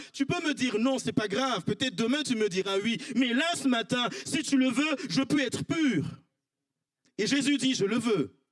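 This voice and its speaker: The speaker uses an animated tone with lively intonation. The pace is fairly slow. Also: man, extremely high pitch for a man. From Ivory Coast, Abidjan. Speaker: pastor. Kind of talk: sermon.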